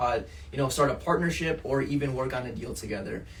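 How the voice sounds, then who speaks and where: A man with an American accent, fairly high pitch and fairly even intonation, amid noticeable background noise and audible room echo. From Portugal, raised in US from childhood. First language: Portuguese. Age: 30s. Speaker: entrepreneur. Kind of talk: podcast interview. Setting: office.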